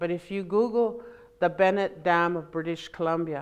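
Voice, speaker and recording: At a moderate pace, a woman speaks in a fairly low voice. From Alberta, Canada. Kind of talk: public talk. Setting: library event with audience. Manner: animated.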